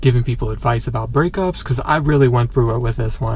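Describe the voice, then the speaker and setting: Audible room echo and noticeable background noise around a male speaker. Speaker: vlogger. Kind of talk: casual chat. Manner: rambling filler-heavy casual.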